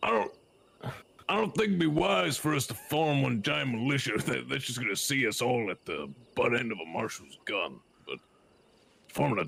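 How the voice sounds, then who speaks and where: A man's put-on character voice at medium pitch, at a moderate pace with long, frequent pauses. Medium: game stream. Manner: folksy, deliberate.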